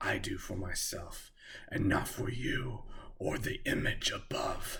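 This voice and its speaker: This is a put-on character voice with a growl. It moves at a fairly slow pace. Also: man. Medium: read story. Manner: mocking, defiant.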